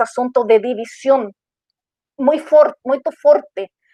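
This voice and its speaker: A woman talks in a Chilean accent with a high pitch. Her pace is moderate. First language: Spanish (speaking Portuguese). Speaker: diversity and inclusion manager. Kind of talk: panel discussion. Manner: halting, many fillers.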